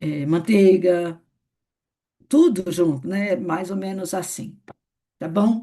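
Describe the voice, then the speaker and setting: A woman's fairly low, dark, mellow voice at a very slow pace against a quiet background. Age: 60s. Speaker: network marketing leader. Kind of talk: training session. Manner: conversational.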